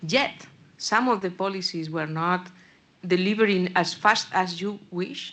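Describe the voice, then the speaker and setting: A woman speaks with a Spanish accent. Her pace is fairly slow and her pitch medium. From Spain. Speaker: audience member, policy official. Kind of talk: panel Q&A question.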